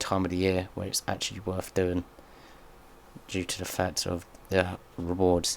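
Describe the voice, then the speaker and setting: Soft-spoken with a very deep, low pitch, a man talks at a fairly slow pace in a very clean recording with a silent background. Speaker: gaming youtuber. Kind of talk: gameplay commentary.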